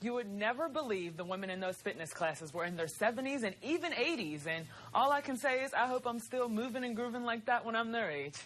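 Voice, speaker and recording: A woman talks at a very fast pace with an American accent. Her fairly high voice swings very widely in pitch. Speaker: television news reporter, multimedia journalist. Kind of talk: TV news reporter package and standup.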